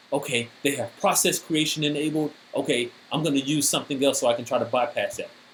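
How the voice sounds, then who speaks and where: The man's delivery moves along at a fairly quick pace. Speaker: cybersecurity speaker. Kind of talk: technical presentation.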